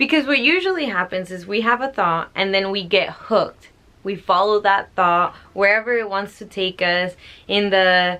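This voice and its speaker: A woman speaks with a normal speaking voice at a medium pitch. Her pace is moderate and her pitch variation ordinary. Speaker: spiritual book reader and commentator. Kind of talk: book reading with casual commentary.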